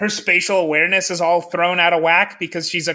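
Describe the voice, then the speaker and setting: This man's voice sits high in pitch, with a bright, sharp tone. His intonation stays fairly even. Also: very clean recording, silent background. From US Midwest (Lincoln, Nebraska). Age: 30s. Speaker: podcast host, film reviewer. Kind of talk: casual chat.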